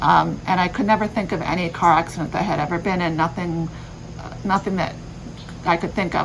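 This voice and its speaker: With music in the background, a woman speaks at a very fast pace. Her voice sits fairly low, and her intonation stays fairly even. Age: 40s. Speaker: vlogger. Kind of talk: personal vlog explanation. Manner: halting, many fillers.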